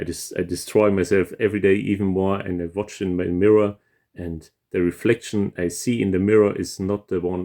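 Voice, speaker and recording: A man speaks in a very deep, low pitch with a dark, mellow tone and a non-native accent. His intonation is monotone and flat, his pace is moderate, and the background is quiet. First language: not English. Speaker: composer reacting to music. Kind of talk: casual music reaction commentary. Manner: hesitant, many fillers and repetitions.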